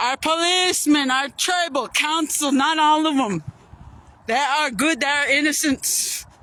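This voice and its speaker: Her raised, projected voice carries an American accent. The woman's pitch is high. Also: ordinary pitch variation. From Yakama reservation, Toppenish, Washington. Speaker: vlogger. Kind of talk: testimony. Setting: outdoors by a river. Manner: forceful.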